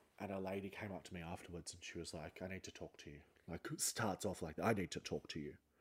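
The man talks very fast with an Australian accent. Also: big swings in loudness. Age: 30s. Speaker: podcast host and comedian. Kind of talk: casual solo monologue. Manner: animated.

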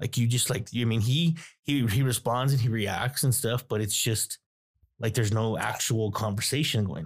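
A man's somewhat breathy voice at medium pitch, with ordinary pitch variation and a moderate pace. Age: 30s. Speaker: guest, father. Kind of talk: casual chat.

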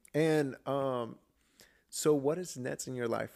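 This is a man talking. His intonation is fairly even throughout. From Georgia, US (born in Colombia, moved at seven). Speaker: podcast host. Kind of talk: casual chat.

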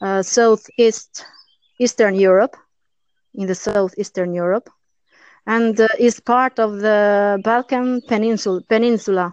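A woman's fairly high voice with an Albanian accent, very slow and fairly even, with long, frequent pauses and a dry, close sound free of echo. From Albania, Durrës. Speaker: podcast guest, English learner. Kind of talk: casual interview. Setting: online call. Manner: halting, non-fluent. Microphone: poor connection, voice fades out at times.

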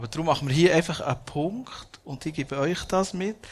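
Somewhat breathy, a man's voice shows ordinary pitch variation. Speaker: podcast and event host. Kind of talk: live interview before audience.

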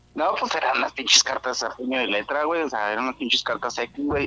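Speech comes at a fairly quick pace. Noticeable background noise runs underneath. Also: man. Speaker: podcast caller. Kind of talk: casual chat. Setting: remote call.

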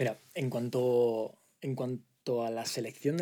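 A man's dark, mellow tone at medium pitch and a very slow pace. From Spain, Alicante province (Altea). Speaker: startup CEO. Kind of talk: interview. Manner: halting.

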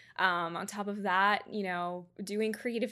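In an ordinary speaking voice, a woman speaks at medium pitch with fairly even intonation. The recording is very clean, with a silent background. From Georgia, US. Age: 20s. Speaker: photographer. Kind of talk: casual interview.

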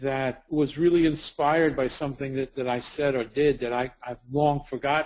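A man speaks in a Brooklyn accent. His pitch is fairly high and his pace moderate. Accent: New York (Brooklyn). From US Northeast (Brooklyn, New York). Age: 50s. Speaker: documentary subject, ex-addict. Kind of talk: interview. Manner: halting, many repetitions.

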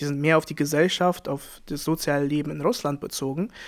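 A man with a non-native accent speaks at a fairly high pitch and a moderate pace with fairly even intonation. The recording is very clean, with a silent background. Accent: foreign accent in German. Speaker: podcast co-host. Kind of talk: casual chat.

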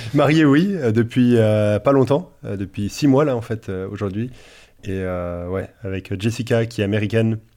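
Fairly slow male speech at a medium pitch, dark and mellow in tone with ordinary pitch variation, on a very clean recording with a silent background. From Paris region, France. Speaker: pastor and theology author. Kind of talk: casual theological discussion.

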